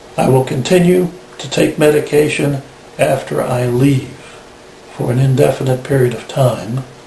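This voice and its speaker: A man talks with long, frequent pauses and fairly even intonation amid noticeable background noise. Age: 60s. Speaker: tinnitus patient. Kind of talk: personal testimony. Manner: measured, formal.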